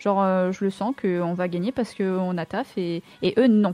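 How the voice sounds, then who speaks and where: A woman at medium pitch speaks with fairly even intonation and a dark, mellow tone in a dry, close sound with no echo. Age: 20s. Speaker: streamer and esports player. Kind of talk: casual chat.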